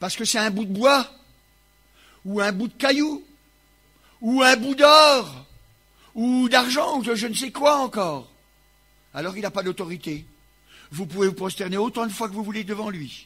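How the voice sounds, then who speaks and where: Raising and projecting his voice, a man speaks at a high pitch in a bright, sharp tone with lively intonation, a fairly slow pace and long, frequent pauses. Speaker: preacher. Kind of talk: sermon. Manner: loud.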